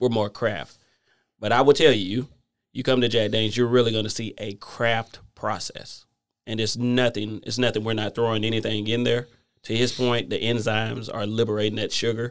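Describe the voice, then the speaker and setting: A man with a Southern US accent talks fairly quickly at a medium pitch. His intonation is flat and monotone, and the recording is very clean with a silent background. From US South. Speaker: whiskey company manager. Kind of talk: casual interview.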